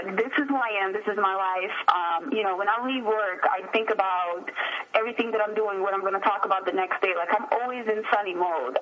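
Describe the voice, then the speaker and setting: Noticeable background noise sits behind a woman's voice. She speaks at a fairly quick pace with a fairly high pitch and ordinary pitch variation. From abroad, moved to US at 13. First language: not English. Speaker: radio host. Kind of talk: interview.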